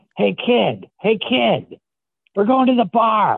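This put-on character voice uses a Philadelphia accent. The pitch is fairly high. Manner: casual, friendly.

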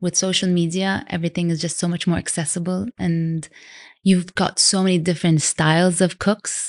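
A normal speaking voice moves at a moderate pace over a quiet background. The sound is dry and close, without echo. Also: woman. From Canada, Vancouver. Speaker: food blogger and cookbook author. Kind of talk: interview conversation.

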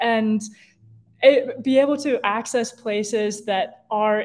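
A woman with an American accent uses a normal speaking voice, fairly high in pitch, with fairly even intonation. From Ohio (Cincinnati). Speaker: outdoor ethics educator. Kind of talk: interview.

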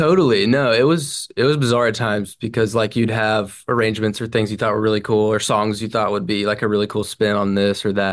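A man with an American accent talks in an ordinary speaking voice, fairly low in pitch with fairly even intonation. He keeps a fairly quick pace with hardly any pauses against a quiet background. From Franklin, Tennessee (US South). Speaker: singer-songwriter. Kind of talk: casual interview. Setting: video call.

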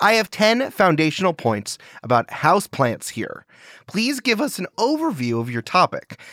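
This man has a high pitch and very wide pitch swings, talking at a moderate pace. The recording is very clean with a silent background and a dry, close sound with no echo. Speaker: comedy game show co-host. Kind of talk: comedic game show banter.

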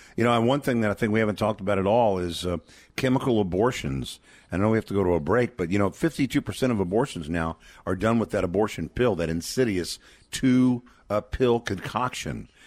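A man with a fairly low pitch and an ordinary speaking voice talks at a fairly quick pace with ordinary pitch variation, captured in a very clean recording with a silent background. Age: 60s. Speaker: pro-life ministry advocate. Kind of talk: radio fundraising interview.

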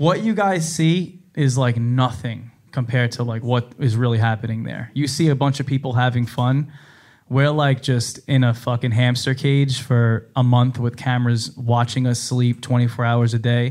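Here is a man with a plain, everyday voice. He keeps a moderate pace and fairly even intonation. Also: medium pitch for a man. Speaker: reality TV personality guest. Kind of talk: casual interview chat. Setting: stage with audience.

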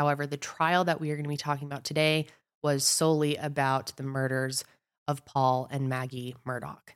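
The delivery is fairly quick and flat in a monotone, captured in a very clean recording with a silent background. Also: woman, very deep, low pitch for a woman. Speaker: podcast host. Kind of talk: scripted-style narration of a true crime case. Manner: casual, friendly, conversational.

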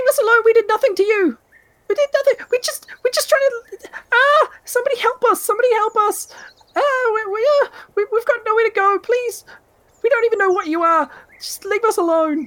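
A put-on character voice, extremely high and squeaky, at a moderate pace with long, frequent pauses. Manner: pleading, scared.

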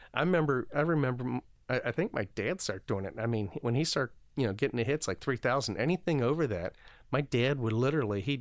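Recorded very cleanly against a silent background, a man with a medium pitch talks at a very fast pace. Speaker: baseball clubhouse manager. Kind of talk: casual interview chat. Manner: halting, repeats words.

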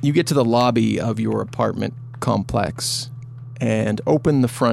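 Text read aloud plainly

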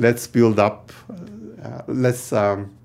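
The speaker has a Turkish accent. Their intonation stays fairly even. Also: man. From Turkey. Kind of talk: interview.

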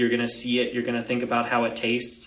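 A man is heard over noticeable background noise with audible room echo. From Florida. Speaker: dietitian. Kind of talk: interview on nutrition.

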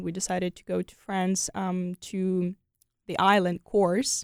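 Fairly slow speech with a Ukrainian accent, in a very clean recording with a silent background and a dry, close sound with no echo. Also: woman. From Ukraine, Kyiv. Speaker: exchange student. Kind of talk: interview conversation. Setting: studio.

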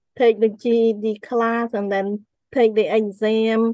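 The woman's fairly high voice has a dark, mellow tone and a Cambodian accent, recorded with a dry, close sound and no echo. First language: Khmer. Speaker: author and motivational speaker. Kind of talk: interview testimony.

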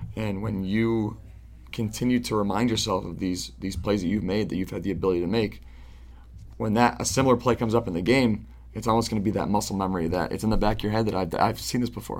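With an American accent and vocal fry, a man talks very fast in a fairly low pitch with ordinary pitch variation. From Central New York, Syracuse area. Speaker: professional soccer goalkeeper. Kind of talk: interview.

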